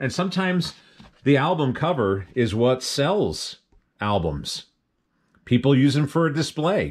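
A man talks at a fairly slow pace, and the background is quiet. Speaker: thrift reseller. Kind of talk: casual vlog chat. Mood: enthusiastic, nostalgic. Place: home room. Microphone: phone near.

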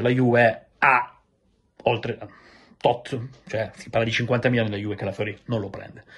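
With monotone, flat intonation, a man talks in a somewhat breathy voice. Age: 30s. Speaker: football transfer journalist. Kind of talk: video monologue on football transfer news. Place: home room.

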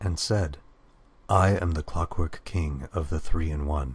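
A man with a very deep, low voice and a somewhat breathy quality. He speaks at a fairly slow pace. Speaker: narrator reading game lore. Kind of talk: dramatic narration of fantasy scripture. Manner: solemn, theatrical, mythic.

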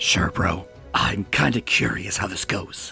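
A man puts on a character voice with fairly low pitch, vocal fry, and a bright, sharp tone. He talks fairly slowly with ordinary pitch variation over faint music in the background.

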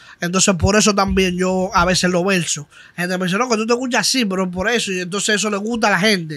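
A man's high voice, bright and sharp in tone, very fast, with fairly even intonation against a quiet background. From Dominican Republic. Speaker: trap artist; guest. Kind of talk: casual interview. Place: studio. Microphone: studio mic.

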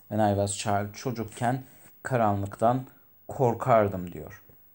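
The recording is very clean, with nothing heard in the silent background. This man talks very slowly. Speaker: English teacher. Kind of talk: lecture. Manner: halting, many fillers.

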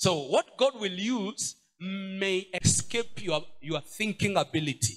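The background stays quiet while a man talks. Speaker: pastor. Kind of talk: sermon. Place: church. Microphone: handheld.

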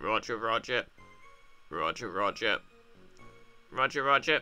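A man uses a put-on character voice that is nasal and robotic, at medium pitch. He speaks at a moderate pace over faint background music. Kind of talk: playful gaming commentary. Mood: playful, repeating a phrase.

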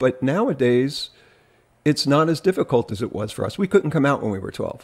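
Against a quiet background, a man with a medium pitch and ordinary pitch variation speaks at a moderate pace. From New Jersey. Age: 50s. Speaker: podcast host. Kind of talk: casual chat. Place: home room.

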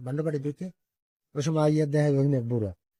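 A man speaks with a fairly high, somewhat breathy voice and a dark, mellow tone. His intonation is fairly even, and the sound is dry and close with no echo. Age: 70s. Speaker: village elder, local resident. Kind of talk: interview testimony.

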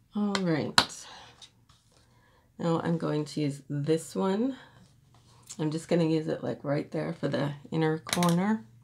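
Amid noticeable background noise, a woman with a very deep, low pitch speaks at a very slow pace with lively intonation and long, frequent pauses. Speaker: beauty vlogger. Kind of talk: makeup tutorial. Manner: casual, chatty. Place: home room. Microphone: phone near.

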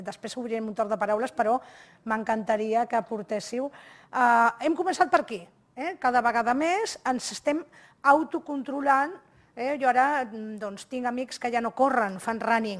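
A woman talks at a moderate pace, her voice high-pitched and her pitch varying in an ordinary way. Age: 60s. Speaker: HR speaker; invited lecturer. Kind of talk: lecture. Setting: seated before live audience, filmed. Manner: animated. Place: hall. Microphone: podium.

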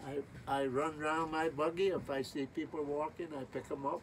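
With a Bahamian accent, a man speaks fairly slowly at a fairly high pitch and fairly even intonation, over light background noise. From Spanish Wells, Bahamas. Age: 80s+. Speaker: retired sea captain. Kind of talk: interview answer. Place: boat.

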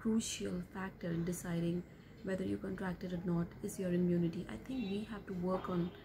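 A woman speaks at a fairly quick pace with fairly low pitch and fairly even intonation. Noticeable background noise is present. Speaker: vlogger. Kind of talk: casual vlog chat. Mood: calm, concerned. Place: home room. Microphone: phone near.

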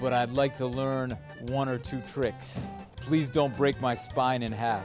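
A man speaks at a very slow pace over clear background music. The sound is dry, with no echo. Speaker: travel show host. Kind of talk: casual on-location chat. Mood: playful, joking. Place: gym.

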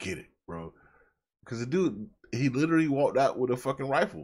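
Fairly quick pace from a man, quiet background. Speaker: reaction video host. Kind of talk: reaction commentary. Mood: reflective, torn.

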